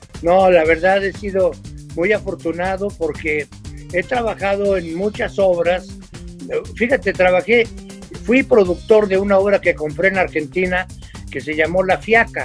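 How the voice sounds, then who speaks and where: A man with a high-pitched voice speaks at a fairly slow pace with ordinary pitch variation and long, frequent pauses, faint music playing in the background. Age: 80s+. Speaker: comedian. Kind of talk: interview answer. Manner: casual, anecdotal. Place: home room. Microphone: video call.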